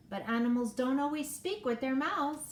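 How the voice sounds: A female-sounding voice puts on a character voice at a moderate pace, raised and projected at a high pitch, with light background noise.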